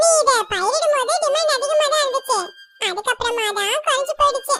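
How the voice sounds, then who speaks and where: Faint music plays in the background as a put-on character voice speaks at a moderate pace with lively intonation. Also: woman, extremely high pitch for a woman. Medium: fan dub. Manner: smooth, bargaining.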